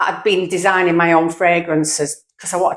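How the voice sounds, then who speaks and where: A woman speaks in a fairly low voice with fairly even intonation. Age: 60s. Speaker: retired small business owner. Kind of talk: casual vlog monologue. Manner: halting.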